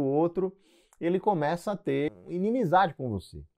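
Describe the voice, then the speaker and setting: With a quiet background, the male speaker's pitch swings very widely while he keeps a moderate speed. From Northeast Brazil, João Pessoa, Paraíba. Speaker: anesthesiologist and medical educator. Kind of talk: casual advice talk to camera.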